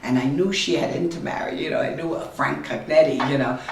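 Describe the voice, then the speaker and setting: A woman with a New York accent speaks in a very deep, low pitch with ordinary pitch variation, with audible room echo and noticeable background noise. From New York, Brooklyn. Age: 90s. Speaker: family elder interviewed. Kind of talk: family history interview. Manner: halting.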